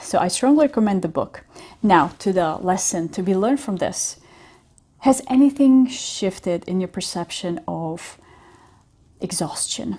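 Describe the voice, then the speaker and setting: Somewhat breathy and dark, mellow in tone, a woman's medium-pitched voice moves at a fairly slow pace with lively intonation and long, frequent pauses. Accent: European. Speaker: business coach. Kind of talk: casual talk to camera.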